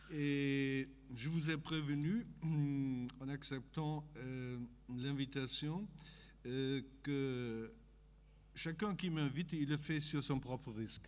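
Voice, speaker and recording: Speaking with a German accent, a man with a fairly high voice goes very slowly with long, frequent pauses and ordinary pitch variation as room echo is audible. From Germany. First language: German (speaking French). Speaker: economist. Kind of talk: conference talk. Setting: conference stage with audience. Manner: halting, many hesitations.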